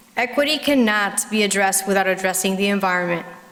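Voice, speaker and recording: A woman speaks fairly quickly with ordinary pitch variation. Noticeable background noise and audible room echo fill the recording. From Puerto Rico. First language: Spanish. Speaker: parent speaking at public comment, physician. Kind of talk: prepared public comment speech. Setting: school board meeting at podium.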